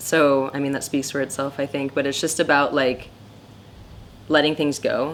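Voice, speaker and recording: Very deep, low female voice, monotone and flat, at a moderate pace with long, frequent pauses. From Costa Rica. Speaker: photographer. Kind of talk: interview. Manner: loud; casual, halting with fillers.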